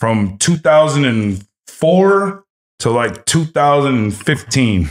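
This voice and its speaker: A man's very slow delivery with very wide pitch swings. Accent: American. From Los Angeles. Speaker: streetwear and cannabis brand founder. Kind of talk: casual chat.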